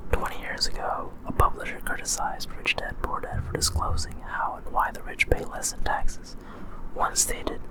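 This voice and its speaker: A whisper comes through noticeable background noise. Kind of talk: non-fiction book reading. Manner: whispered.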